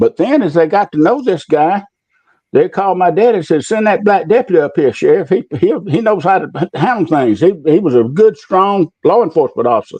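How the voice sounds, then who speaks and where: With an Alabama accent, a man speaks at a fairly quick pace in a high pitch, his intonation lively and his loudness very even. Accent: Southern US (Alabama). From US South, Macon County, Alabama. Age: 70s. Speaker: retired public official. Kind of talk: interview, personal recollection. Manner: halting.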